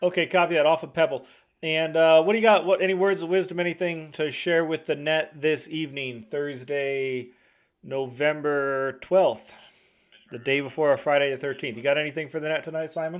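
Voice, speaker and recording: A man talks with a fairly high pitch and ordinary pitch variation. The recording is very clean, with a silent background. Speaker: radio net control operator. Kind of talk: radio net check-in. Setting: two-way radio transmission. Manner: fast.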